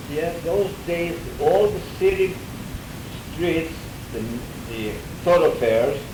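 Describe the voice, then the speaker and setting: A man with a high pitch and lively intonation speaks over noticeable background noise. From Greece. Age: 80s+. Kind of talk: interview answer.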